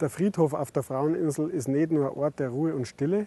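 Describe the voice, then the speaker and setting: With a Bavarian accent, a man speaks at a moderate pace in a fairly high pitch with a dark, mellow tone. The sound is dry and close with no echo, and his pitch varies in an ordinary way. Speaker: innkeeper. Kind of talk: travel guide presentation to camera. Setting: outdoors. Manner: friendly, casual.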